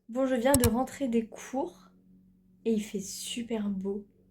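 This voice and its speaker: Speaking at a very slow pace, the woman has a somewhat breathy voice with a dark, mellow tone. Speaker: student vlogger. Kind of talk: vlog narration. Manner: casual, hesitant fillers.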